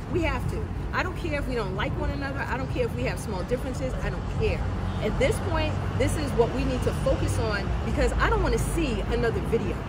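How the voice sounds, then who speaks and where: A woman talking at a very fast pace amid loud background noise. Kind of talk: interview answer. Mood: grieving, emphatic. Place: street. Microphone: handheld.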